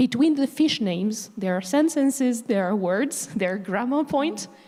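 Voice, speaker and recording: With noticeable background noise, a woman with a French accent speaks at a moderate pace in a fairly high voice and lively intonation. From France. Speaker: panelist, language teacher. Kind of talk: panel discussion. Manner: animated.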